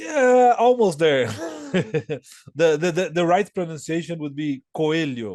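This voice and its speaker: A man with a Portuguese accent talks very slowly at a fairly high pitch. The background is quiet. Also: lively intonation. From Brazil, São Paulo. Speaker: board game designer. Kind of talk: interview. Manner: halting, many repetitions and fillers.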